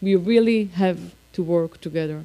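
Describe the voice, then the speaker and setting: Speaking in an Israeli accent, a woman has a dark, mellow tone at a medium pitch with ordinary pitch variation. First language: Hebrew. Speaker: politician. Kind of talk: speech. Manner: halting.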